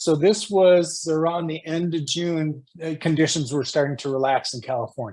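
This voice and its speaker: An unremarkable speaking voice at a moderate pace, with ordinary pitch variation and hardly any pauses. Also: man, fairly high pitch for a man. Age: 60s. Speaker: spiritual guest. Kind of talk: interview. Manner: casual.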